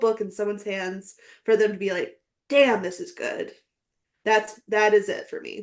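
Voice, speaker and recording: An unremarkable speaking voice moves at a moderate pace with ordinary pitch variation. Its loudness swings widely. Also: woman. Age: 30s. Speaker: podcast guest, aspiring novelist. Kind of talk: casual interview chat.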